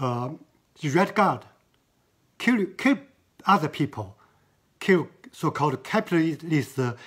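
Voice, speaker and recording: The recording is very clean with a silent background. The speech moves at a very slow pace. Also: man. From China. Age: 70s. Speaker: artist. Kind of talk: interview. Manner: halting.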